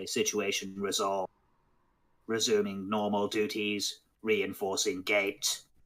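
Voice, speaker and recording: This is a put-on character voice that sounds robotic. It moves at a fairly slow pace. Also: man, fairly low pitch for a man. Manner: flat, mechanical.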